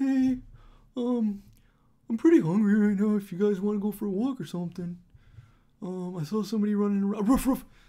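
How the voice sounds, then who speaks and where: Using a put-on character voice with a fairly high pitch, the speaker moves at a fairly quick pace yet leaves long, frequent pauses, in a very clean recording with a silent background. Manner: cute, chatty, ends with barks.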